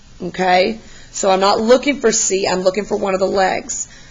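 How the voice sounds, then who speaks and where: A woman with a medium pitch and fairly even intonation talks against noticeable background noise. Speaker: math teacher. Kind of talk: tutorial. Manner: encouraging, casual.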